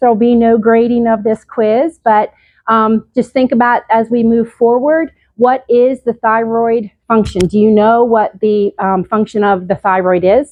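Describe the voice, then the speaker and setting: A woman talks in a normal speaking voice, fairly high in pitch, with ordinary pitch variation, at a moderate pace. Her loudness stays very even and she uses hardly any pauses. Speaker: nurse practitioner giving a health talk. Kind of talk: lecture.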